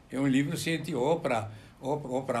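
A man's fairly high voice with audible room echo. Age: 80s+. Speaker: medical publisher. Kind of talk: interview. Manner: halting.

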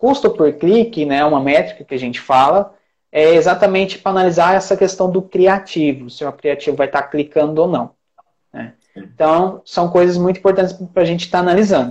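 A man's high voice at a fairly quick pace with ordinary pitch variation. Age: 20s. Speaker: traffic manager (paid ads specialist). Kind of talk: casual interview chat.

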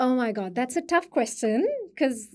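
A woman speaks with a dark, mellow tone. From India. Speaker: international education manager. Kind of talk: casual interview.

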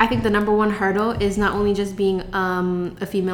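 Her speech comes at a fairly quick pace, with medium pitch and fairly even intonation. Audible room echo surrounds the woman's voice. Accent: American. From Seattle, Washington (south side). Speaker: social media marketing agency owner. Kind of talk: interview. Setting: in person in Seattle.

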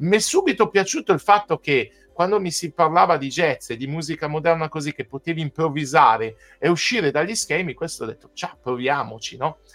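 With music playing in the background, a man talks in a fairly high pitch with lively intonation, the sound dry and close with no echo. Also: fairly quick pace. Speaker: pianist and composer. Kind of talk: casual interview chat.

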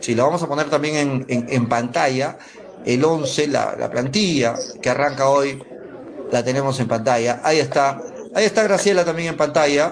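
A man's fairly high voice with ordinary pitch variation at a moderate pace, amid noticeable background noise and audible room echo. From Peru, Mollendo. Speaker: sports radio host. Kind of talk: sports talk radio.

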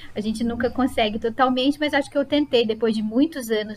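This woman has a normal speaking voice with a fairly high pitch. She talks at a moderate pace with ordinary pitch variation. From Brazil, Sorocaba (São Paulo state). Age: 40s. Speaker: psychologist and psychoanalysis lecturer. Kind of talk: casual interview conversation.

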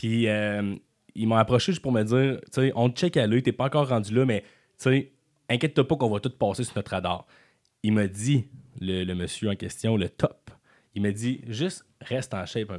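Speaking at a moderate pace and medium pitch with ordinary pitch variation, a man leaves long, frequent pauses on a very clean recording with a silent background. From Quebec City area, Quebec. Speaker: comedian. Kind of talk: casual chat. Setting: studio.

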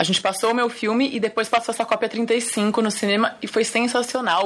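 Noticeable background noise under a woman's fairly quick speech. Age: 30s. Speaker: film director. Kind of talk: interview.

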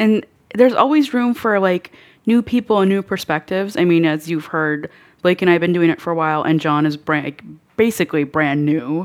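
Her intonation lively, a woman speaks with a fairly low pitch. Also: fairly quick pace. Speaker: nurse content creator. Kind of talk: casual chat. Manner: animated, joking.

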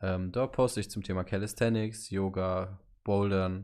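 Against a quiet background, a man talks in a plain, everyday voice with fairly low pitch and fairly even intonation. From Hannover, northern Germany. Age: 20s. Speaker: podcast co-host, student. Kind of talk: casual chat.

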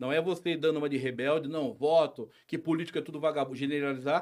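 A man speaks at a fairly quick pace in an unremarkable speaking voice. His pitch sits fairly high. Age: 40s. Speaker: local businessman and social project founder. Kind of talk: casual interview chat.

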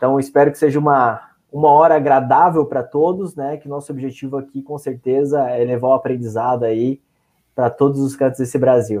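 A fairly high-pitched man's voice with a dark, mellow tone, big swings in loudness, a fairly quick pace and fairly even intonation. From Santa Catarina, Brazil (São Francisco do Sul). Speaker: occupational safety professional. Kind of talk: online panel discussion.

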